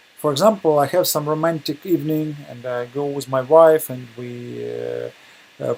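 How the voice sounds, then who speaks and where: A man in a Russian accent with a fairly high pitch, a moderate pace and big swings in loudness, over noticeable background noise. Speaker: webinar presenter. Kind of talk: lecture. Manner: halting, many hesitations.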